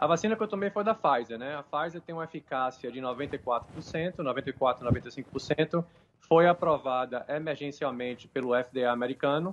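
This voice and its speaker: This man's pitch varies in an ordinary way, and he talks at a moderate pace. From Salvador, Bahia, Brazil. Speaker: nurse. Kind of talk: live interview. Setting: video call. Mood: hopeful, earnest. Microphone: video call.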